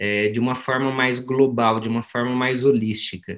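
Medium-pitched male speech, delivered at a moderate pace. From interior of São Paulo state, Brazil. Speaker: osteopath and mentor. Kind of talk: motivational talk in group meeting. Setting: video call.

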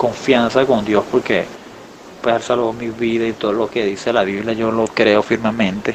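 Speech at a moderate pace over noticeable background noise. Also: man. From Venezuela, Falcón state. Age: 20s. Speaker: musician. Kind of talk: interview. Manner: halting, repeats words.

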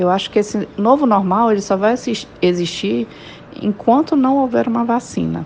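A woman's medium-pitched voice at a moderate pace, very even in loudness, with ordinary pitch variation over noticeable background noise. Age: 40s. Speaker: civil engineer. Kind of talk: interview.

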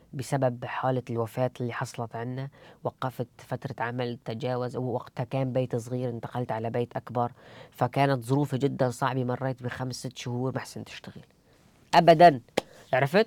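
Over a silent background in a very clean recording, a man at medium pitch talks at a moderate pace in a monotone, flat intonation, the sound dry and close with no echo. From Syria, Idlib. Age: 20s. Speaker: bookshop founder. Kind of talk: interview storytelling.

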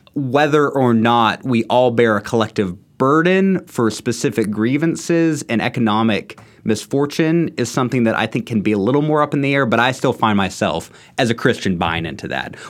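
Speaking in a normal speaking voice with an American accent, a man of medium pitch talks at a moderate pace with lively intonation. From Texas, Houston. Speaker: graduate student. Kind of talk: casual discussion.

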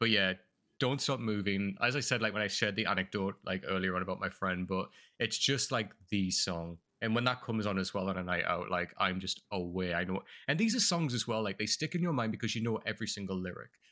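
A man speaks very fast in a fairly low voice, with a North East England accent and ordinary pitch variation. His tone is bright and sharp, and the recording is very clean with a silent background. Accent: North East English, milder than Geordie. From northeast England. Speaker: content creator and model. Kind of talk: casual interview chat.

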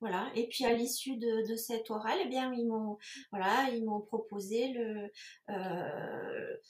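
A woman with a fairly high pitch talks at a very slow pace, her intonation fairly even. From southern France, Toulouse area. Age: 50s. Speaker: entrepreneur. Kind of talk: interview. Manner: hesitant, many fillers.

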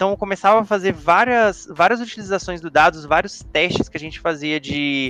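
A high-pitched man talks at a moderate pace with hardly any pauses and ordinary pitch variation. His loudness swings a lot, and there is noticeable background noise. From Brazil, Espírito Santo (Vitória). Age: 20s. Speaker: data governance professional. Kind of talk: casual chat.

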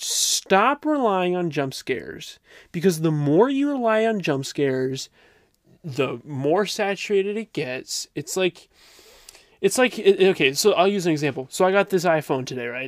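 With a plain, everyday voice, a man speaks at a fairly slow pace using lively intonation. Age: 20s. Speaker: podcast co-host. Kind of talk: casual chat.

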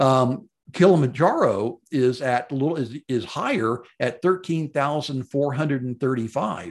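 Speaking fairly slowly with a Southern US accent, a man uses a fairly high pitch and ordinary pitch variation. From Memphis, Tennessee. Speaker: podcast host and mountaineering enthusiast. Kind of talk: solo podcast monologue. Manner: casual, rambling, self-deprecating, many fillers.

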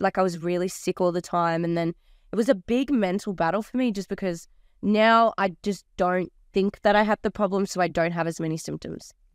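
A woman with an Australian accent in an animated tone at a fairly quick pace, on a very clean recording with a silent background. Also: dry, close sound with no echo. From Australia, New South Wales Central Coast. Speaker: DJ and entrepreneur. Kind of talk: casual chat. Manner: fast.

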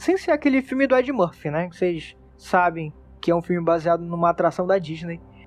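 A man's lively intonation with music in the background. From Manaus, northern Brazil. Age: 20s. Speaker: podcast editor and host. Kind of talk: casual monologue. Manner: animated.

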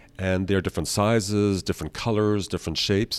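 On a very clean recording with a silent background, a man with a normal speaking voice and fairly low pitch talks at a moderate pace. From Austria (Vienna), born in Canada. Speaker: architecture professor and woodcarver. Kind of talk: podcast interview.

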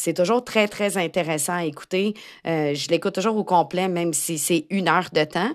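A woman with a Quebec accent speaks at a moderate pace and fairly low pitch with ordinary pitch variation, in a very clean recording with a silent background. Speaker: podcast host, tech-savvy educator. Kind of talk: casual solo podcast monologue.

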